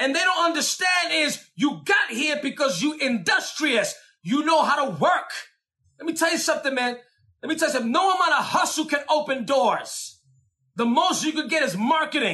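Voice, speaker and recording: A man's raised, projected voice in a New York accent, extremely high in pitch with a bright, sharp tone, ordinary pitch variation and a moderate pace. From New York, the Bronx. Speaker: preacher. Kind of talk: sermon. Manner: animated.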